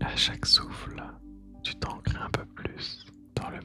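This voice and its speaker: A man whispers in a calm tone at a very slow pace. Music plays in the background. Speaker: meditation guide. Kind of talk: guided meditation. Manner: whispered; slow, calm.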